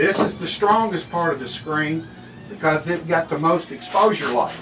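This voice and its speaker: Amid audible room echo and music in the background, a man with an American accent speaks at a high pitch with ordinary pitch variation. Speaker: screen printing instructor. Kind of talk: tutorial. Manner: slow.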